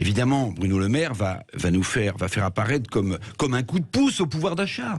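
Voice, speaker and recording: A somewhat breathy man speaks at a fairly quick pace, his pitch swinging very widely while his loudness stays very even. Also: medium pitch for a man. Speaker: radio commentator. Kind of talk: radio commentary on economics and politics.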